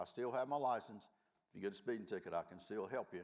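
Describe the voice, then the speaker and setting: A man talks at a very fast pace with a Southern US accent. His tone is animated. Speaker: law professor, restorative justice program director. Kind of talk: panel discussion. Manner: folksy, animated storytelling.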